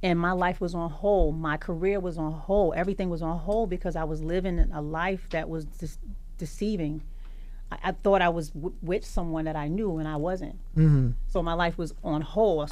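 A woman talks at a moderate pace with a fairly low pitch and fairly even intonation. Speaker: guest. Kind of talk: interview answer. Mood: reflective, emotional. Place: studio. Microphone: studio mic.

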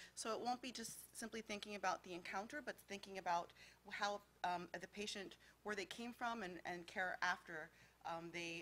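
Bright and sharp in tone, a woman speaks at a moderate pace with ordinary pitch variation. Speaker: federal health agency official. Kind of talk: conference panel presentation. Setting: conference room with live audience.

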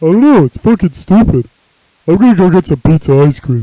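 A man puts on a high-pitched character voice. He talks at a fairly quick pace. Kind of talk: amateur fan voice acting. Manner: lazy, casual.

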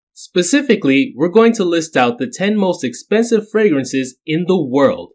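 A man speaks at a moderate pace in a high voice with very wide pitch swings, in a very clean recording with a silent background. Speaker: fragrance and beauty product YouTuber. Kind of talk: casual talk to camera.

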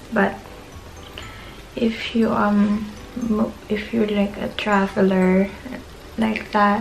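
Music plays in the background as a woman speaks at a very slow pace in a monotone, flat intonation. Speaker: vlogger. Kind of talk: casual vlog chat, product show. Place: home room. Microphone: camera far.

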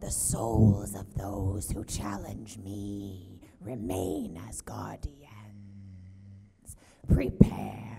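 A put-on character voice growls at a low pitch and a very slow pace. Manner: menacing.

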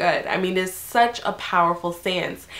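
There is noticeable background noise. Through it, a woman speaks at a medium pitch. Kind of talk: devotional scripture reflection. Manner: casual, conversational.

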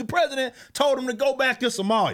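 A man with an American accent speaks in a raised, projected voice at a fairly quick pace, animated and bright, sharp in tone. The background is quiet. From Texas. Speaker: political commentator and comic book creator; political commentator, comic book creator. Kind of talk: political rant monologue. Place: home room. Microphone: studio mic.

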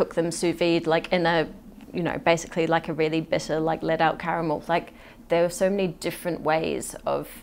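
With vocal fry and a fairly low pitch, a woman talks at a fairly quick pace in a monotone, flat intonation over light background noise. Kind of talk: interview answer. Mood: relaxed, reflective. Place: studio.

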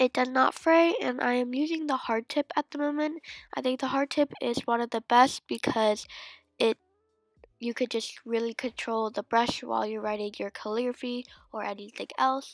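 A high-pitched woman at a moderate pace with ordinary pitch variation, on a very clean, dry, close recording with no echo and a silent background. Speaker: planner and stationery vlogger. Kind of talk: tutorial.

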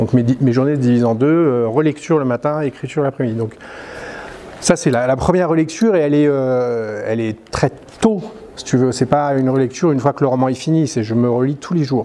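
A man speaks at a fairly high pitch. His pace is fairly quick, with ordinary pitch variation. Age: 50s. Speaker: novelist; interviewee. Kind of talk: interview. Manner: hesitant, with frequent fillers. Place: hall.

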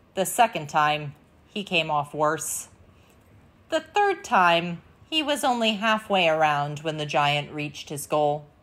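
A woman speaks at a fairly slow pace with a dramatic tone. Her pitch is very deep and low, with ordinary variation. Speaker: storyteller and channel host. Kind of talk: fairy-tale narration, reading a Viking myth aloud. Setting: video channel, recorded read-aloud. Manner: storytelling tone, expressive, gently dramatic; measured, clear pacing. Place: home room.

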